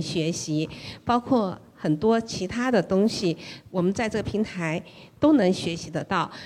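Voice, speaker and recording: In a plain, everyday voice, a woman speaks at a moderate pace with ordinary pitch variation. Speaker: listener and mom. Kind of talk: casual sharing at a meetup. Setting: live event with audience.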